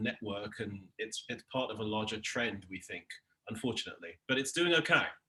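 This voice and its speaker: The man's voice has a bright, sharp tone and a fairly low pitch. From England (London). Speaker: television showrunner. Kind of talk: casual interview.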